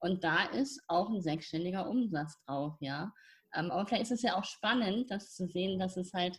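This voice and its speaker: A woman talks at a fairly slow pace with a medium pitch. Her voice is somewhat breathy, with ordinary pitch variation. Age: 50s. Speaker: spiritual mentor and nonprofit founder. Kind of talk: casual interview.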